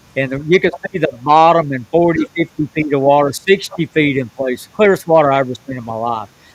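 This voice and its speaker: Fairly quick, fairly high male speech with ordinary movement in pitch. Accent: Southern US. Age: 70s. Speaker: professional bass fisherman. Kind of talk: podcast interview storytelling.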